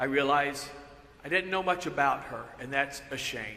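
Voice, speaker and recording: Audible room echo colors this recording of a man. He speaks at a moderate pace with fairly high pitch. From US South, northwest Georgia. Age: 60s. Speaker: pastor. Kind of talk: sermon.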